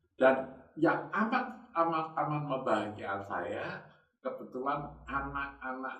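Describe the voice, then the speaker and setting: There is audible room echo as a man with a fairly high pitch speaks at a fairly slow pace. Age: 70s. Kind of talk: casual chat.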